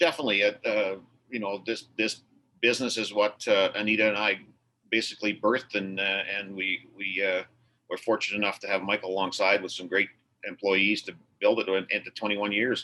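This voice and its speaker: At a fairly quick pace, a man with a fairly low pitch speaks in a bright, sharp tone with fairly even intonation. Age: 60s. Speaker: auto repair shop owner. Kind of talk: casual chat. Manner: halting.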